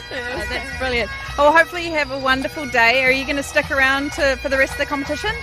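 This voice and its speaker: Over music in the background, a woman with a New Zealand accent speaks very fast in a high, raised, projected voice with an upbeat tone. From New Zealand, North Island. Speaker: event commentator and roving interviewer. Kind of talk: casual crowd interviews at live event. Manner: upbeat, encouraging.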